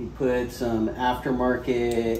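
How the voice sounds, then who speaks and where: Noticeable background noise surrounds a man as he speaks. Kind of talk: casual explanation to family. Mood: relaxed, smiling. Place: garage.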